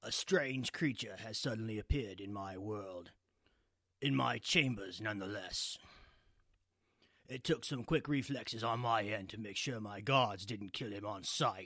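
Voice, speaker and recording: Using a put-on character voice, a man with a fairly low, raspy pitch speaks at a moderate pace with big swings in loudness, on a very clean recording with a silent background. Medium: read story. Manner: cold, commanding.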